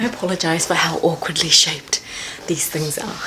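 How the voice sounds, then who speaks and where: A woman speaks with a New Zealand accent and a fairly low pitch. Noticeable background noise runs behind her. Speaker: makeup artist and painter. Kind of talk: casual talk to camera.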